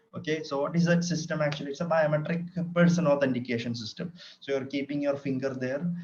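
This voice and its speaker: Against audible room echo, a man with a fairly high pitch talks at a very fast pace with fairly even intonation. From Kerala, India. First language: Malayalam. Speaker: lecturer. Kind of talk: lecture. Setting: online session from home. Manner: hesitant, many fillers.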